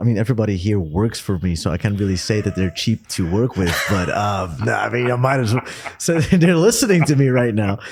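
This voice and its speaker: A man with a Dutch accent speaks at a fairly quick pace in a fairly low voice, with noticeable background noise behind him. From Netherlands. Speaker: podcast host. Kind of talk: casual interview chat. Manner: hesitant with fillers.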